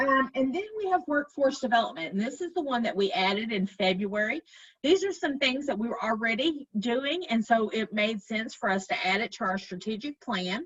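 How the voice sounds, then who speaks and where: A woman speaks with a slight Arkansas accent at a fairly high pitch and moderate pace. Her pitch swings very widely, and she hardly pauses. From Arkansas, Fort Smith. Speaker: chamber of commerce director. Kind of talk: presentation. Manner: halting, many fillers.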